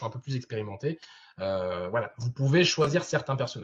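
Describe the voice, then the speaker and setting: Somewhat breathy, a man talks at a very fast pace. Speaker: game master and speaker at a convention. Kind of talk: Q&A after a conference talk. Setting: video call. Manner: many verbal tics and fillers.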